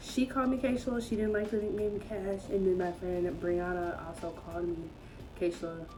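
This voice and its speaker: In an American accent, a woman talks at a fairly quick pace with a medium pitch and ordinary pitch variation. Noticeable background noise and audible room echo can be heard. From Georgia, US South. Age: 20s. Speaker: vlogger. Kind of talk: casual Q&A vlog. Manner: chatty.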